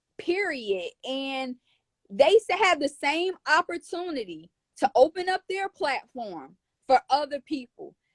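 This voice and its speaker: Loud and animated, a woman with an American accent speaks at a fairly slow pace in a high pitch with very wide pitch swings, the sound dry and close with no echo. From northern US. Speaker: small business owner. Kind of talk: casual interview chat. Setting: live stream.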